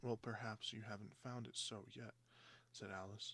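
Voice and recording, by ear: Someone reads aloud in a natural voice, with intonation that is fairly even.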